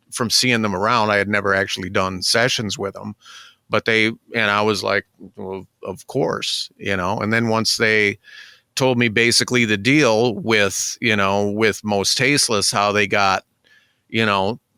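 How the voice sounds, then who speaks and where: A man speaks at a fairly slow pace with fairly even intonation and a fairly low pitch. His is an unremarkable speaking voice. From Michigan Upper Peninsula. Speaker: music producer. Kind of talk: casual interview.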